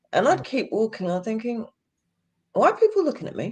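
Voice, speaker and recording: A woman speaks in a London accent with an animated tone. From London, England. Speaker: podcast guest sharing life abroad. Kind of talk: storytelling interview.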